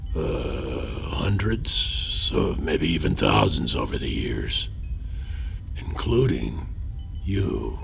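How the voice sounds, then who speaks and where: Amid loud background noise, a man in a put-on character voice speaks at a very slow pace with long, frequent pauses. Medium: audio drama. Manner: wry, evasive, self-deprecating, chuckling.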